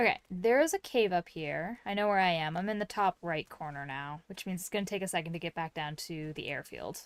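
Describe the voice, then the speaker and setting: A woman's relaxed, fairly quick delivery with hardly any pauses, ordinary pitch variation and big swings in loudness, dry and close with no echo. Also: fairly low pitch for a woman. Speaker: gaming streamer. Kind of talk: casual gameplay commentary. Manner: relaxed, conversational with fillers.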